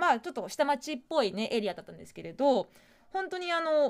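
A woman with a high pitch talks at a fairly quick pace, her voice making very wide pitch swings and big swings in loudness against a quiet background. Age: 30s. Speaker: radio host. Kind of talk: casual chat. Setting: studio. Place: studio.

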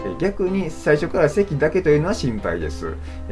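A man's speech moves at a moderate speed while clear music plays behind him. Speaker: health info vlogger. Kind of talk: explanatory vlog chat. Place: home room. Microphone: phone near.

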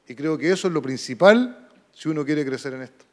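The voice belongs to a man. Its rise and fall in pitch is ordinary. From Chile. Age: 50s. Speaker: football coaching instructor, former player; football coaching instructor. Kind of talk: lecture. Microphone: handheld.

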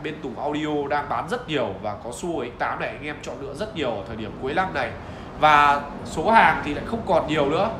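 Amid clear background noise, a man talks fast with a fairly high pitch.

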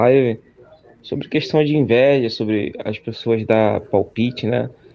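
A man talks at a middle pitch. It rises and falls in an ordinary way. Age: young. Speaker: caller. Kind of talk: casual chat. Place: home room.

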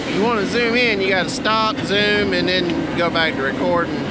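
Loud background noise fills a dry sound with no echo. A man talks at a moderate pace. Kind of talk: casual vlog chat. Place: forest. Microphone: phone near.

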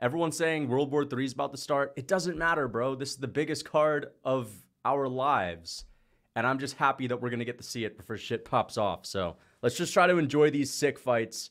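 Quiet surroundings frame a male speaker. He moves at a fairly brisk clip with ordinary pitch variation. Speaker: livestream host. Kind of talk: casual livestream chat reading super chats. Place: home room. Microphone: studio mic.

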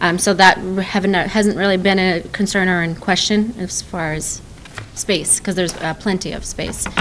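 Her intonation stays monotone and flat as the woman speaks at a moderate pace. Light background noise sits behind her. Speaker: restaurant owner. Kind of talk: license application hearing. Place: meeting room. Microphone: podium.

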